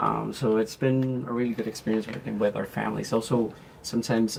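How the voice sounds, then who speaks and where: A man with a Spanish accent, moderate pace, and fairly even intonation. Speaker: speech therapist. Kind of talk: interview. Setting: walking tour of facility. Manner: halting, many fillers.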